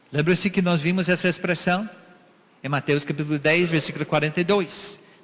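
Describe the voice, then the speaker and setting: Over noticeable background noise, a man speaks at a moderate pace in a high pitch. His loudness stays very even, and his intonation is fairly even. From USA. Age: 60s. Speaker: missionary preacher. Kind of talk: sermon.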